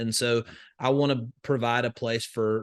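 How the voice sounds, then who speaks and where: Against a quiet background, a man speaks at medium pitch in a Southern US accent. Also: dry, close sound with no echo. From US South, northwest Alabama. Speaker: crypto investor and educator. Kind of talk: podcast interview. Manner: many fillers and restarts.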